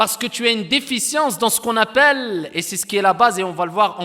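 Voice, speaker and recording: A man's high, raised and projected voice, bright and sharp in tone, with lively intonation. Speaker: Quran recitation teacher. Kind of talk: lecture. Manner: slow.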